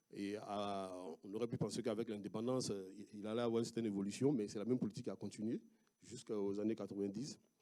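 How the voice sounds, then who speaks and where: A man talks at a fairly quick pace with an Ivorian accent. His pitch is fairly low, his tone dark and mellow, and his intonation fairly even. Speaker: researcher. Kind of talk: conference talk. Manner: halting, many hesitations.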